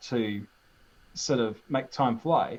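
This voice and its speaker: A man's dark, mellow tone with lively intonation. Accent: strong New Zealand. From New Zealand. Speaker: YouTuber. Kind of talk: casual chat.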